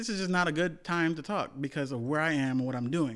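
The man speaks at a very fast pace, fairly high in pitch, with ordinary pitch variation. The recording is very clean with a silent background. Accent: American. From US, West Indian household. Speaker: podcast co-host. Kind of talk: casual chat.

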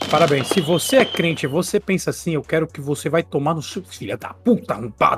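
A high-pitched man talks fairly quickly, his pitch swinging very widely. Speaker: podcast host. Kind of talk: casual chat. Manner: animated.

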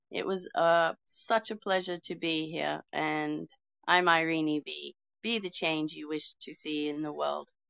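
Here a woman talks with an Australian accent. Her pace is fairly slow. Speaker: twin flame coach. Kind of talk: casual chat. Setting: online audio room.

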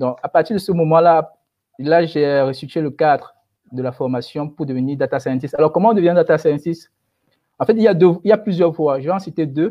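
Here is a man with a normal speaking voice. His pitch is fairly high. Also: ordinary pitch variation, fairly quick pace. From Cameroon. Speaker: data science expert. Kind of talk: webinar interview.

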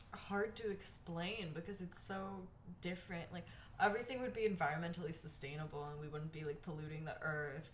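Amid noticeable background noise and audible room echo, a woman with an American accent speaks at a fairly quick pace in a fairly low pitch with ordinary pitch variation. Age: 20s. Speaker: podcast co-host. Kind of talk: casual chat. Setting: at home by a window.

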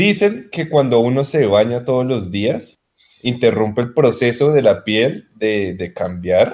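A man with a medium-pitched voice talks at a very slow pace. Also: lively intonation. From Colombia, Tolima. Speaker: podcast co-host. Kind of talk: casual chat.

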